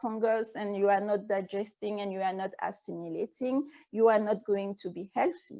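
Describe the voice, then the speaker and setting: With a French accent, a woman is talking. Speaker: naturopathic physician and energy healer. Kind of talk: interview. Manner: halting.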